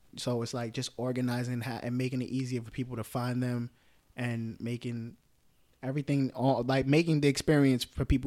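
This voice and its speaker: This man speaks fairly quickly with a New York accent, his tone dark and mellow and his intonation flat and monotone. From New York, the Bronx. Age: 20s. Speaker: event directory founder. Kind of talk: casual chat.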